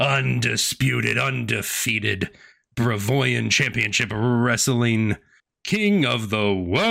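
This is a put-on character voice, loud and booming. It moves at a fairly slow pace. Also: man, medium pitch for a man. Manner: loud, showy hype-man announcing.

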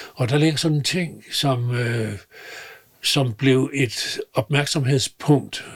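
A man speaks at a medium pitch, very slowly, and somewhat breathily. His pitch varies in an ordinary way. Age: 80s+. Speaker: retired business mentor. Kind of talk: interview. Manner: halting.

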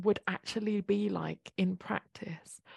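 Very slow and somewhat breathy, a woman's medium-pitched voice has a dark, mellow tone and a dry, close sound with no echo. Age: 40s. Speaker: eating psychology coach. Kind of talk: interview.

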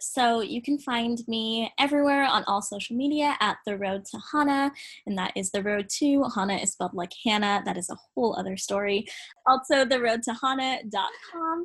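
An unremarkable speaking voice from a woman with a fairly high pitch and lively intonation, at a moderate pace, over a quiet background. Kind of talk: guided meditation.

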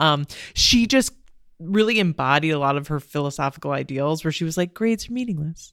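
On a very clean recording with a silent background, a woman with a very deep, low pitch speaks at a fairly quick pace and lively intonation. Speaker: podcast host. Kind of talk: casual interview.

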